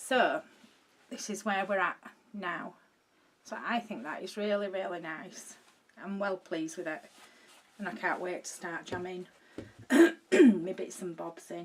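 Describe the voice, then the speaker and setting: A woman with a Yorkshire accent, medium in pitch with ordinary variation, at a fairly slow pace with long, frequent pauses. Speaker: video maker showing a craft project. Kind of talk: casual, broad regional speech.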